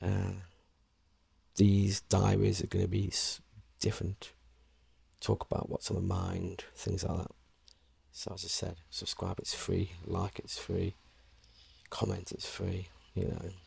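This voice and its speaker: Very deep and low, a man's soft-spoken, somewhat breathy voice stays monotone and flat. He talks at a fairly slow pace with long, frequent pauses. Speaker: vlogger. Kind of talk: casual chat. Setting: indoors, home room. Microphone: clip-on external mic on action camera, some echo.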